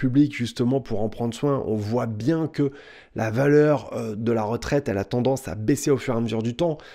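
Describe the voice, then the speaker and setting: A man speaks at a fairly quick pace in a dark, mellow tone. The background is quiet. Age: 30s. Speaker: personal finance youtuber and author; personal finance youtuber. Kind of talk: direct-to-camera tutorial. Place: home room.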